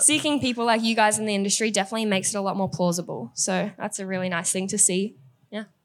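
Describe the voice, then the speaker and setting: Speaking very fast, a woman keeps a medium pitch with ordinary pitch variation. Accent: Australian. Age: 20s. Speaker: bartender. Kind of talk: panel discussion. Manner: soft-spoken.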